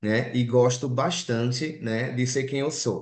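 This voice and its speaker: A man with a strong Recife accent, at a fairly slow pace. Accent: strong Recife (Pernambuco). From Brazil, Recife (Pernambuco). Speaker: clinical psychologist and lecturer. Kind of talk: online lecture. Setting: video call. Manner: frequent 'né' fillers.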